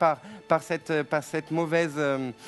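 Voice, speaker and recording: Over music in the background, a man with a high voice speaks at a moderate pace with fairly even intonation. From France. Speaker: TV psychic. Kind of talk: live call-in psychic reading. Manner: hesitant, many repetitions.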